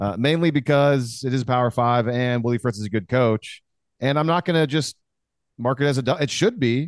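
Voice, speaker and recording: A man speaks at a fairly quick pace in a plain, everyday voice, with medium pitch, ordinary pitch variation and very even loudness. The sound is dry and close with no echo, and the background is quiet. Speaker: guest co-host, podcaster. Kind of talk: casual chat.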